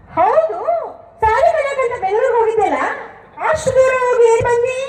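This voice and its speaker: A woman's squeaky, put-on character voice at an extremely high pitch and a fairly slow pace. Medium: stage play. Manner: bold, teasing.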